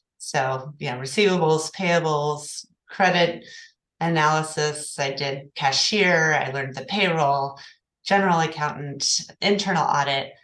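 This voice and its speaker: With an American accent, a woman speaks at a fairly slow pace in a very deep, low voice, with ordinary pitch variation and audible room echo. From Oklahoma City. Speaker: accounting firm partner. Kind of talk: interview.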